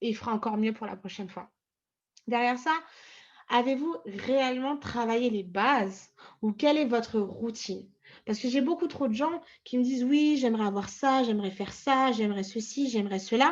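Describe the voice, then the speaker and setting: A woman with a fairly high pitch talks at a moderate pace, her pitch varying an ordinary amount. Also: big swings in loudness. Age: 20s. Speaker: trading coach. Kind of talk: tutorial. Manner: hesitant, many fillers.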